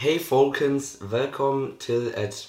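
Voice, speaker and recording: The voice belongs to a man. Room echo is audible. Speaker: podcast co-host. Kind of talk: casual chat.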